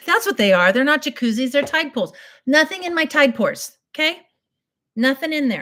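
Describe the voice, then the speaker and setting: A woman speaks in an animated tone, her intonation lively and bouncing. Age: 60s. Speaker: beauty livestreamer. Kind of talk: casual makeup tutorial with storytelling. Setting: live stream. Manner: chatty, animated.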